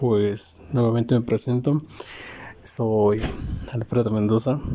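A man talks slowly at a medium pitch. His tone is dark and mellow, his intonation fairly even.

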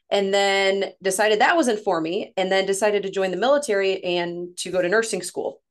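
Over a quiet background, a woman at a medium pitch speaks with fairly even intonation and hardly any pauses. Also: fairly quick pace. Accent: Midwestern. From Missouri, near St. Louis. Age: 30s. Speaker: women's coach, former nurse. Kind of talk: casual interview chat.

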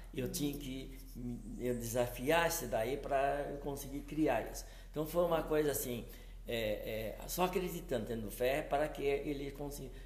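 At a moderate pace, a man talks through noticeable background noise and audible room echo. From São Paulo state, Brazil. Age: 70s. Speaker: entrepreneur. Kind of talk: interview. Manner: halting.

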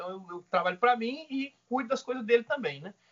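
Here a man speaks at a high pitch with lively intonation. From Northeast Brazil, Maceió, Alagoas. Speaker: cattle rancher and agribusiness mentor. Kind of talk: casual interview chat.

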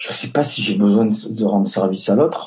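A man speaks with a fairly low pitch, keeping a moderate pace. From Basque Country. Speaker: entrepreneur. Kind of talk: interview. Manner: hesitant, many fillers.

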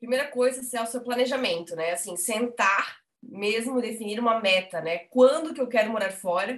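Ordinary pitch variation and a moderate speed in a plain, everyday voice. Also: woman. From Brazil, Blumenau (Santa Catarina). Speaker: journalist, emigration website co-founder. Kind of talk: casual interview.

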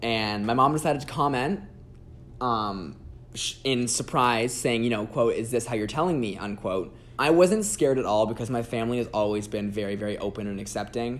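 A man's unremarkable speaking voice, medium in pitch, at a fairly quick pace with ordinary pitch variation. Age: 20s. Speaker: sex worker and content creator. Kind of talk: casual chat.

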